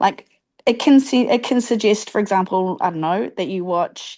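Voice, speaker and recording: Someone with a New Zealand accent talks at a fairly slow pace. The intonation is lively and the background is quiet. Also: woman. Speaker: teacher. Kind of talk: casual chat.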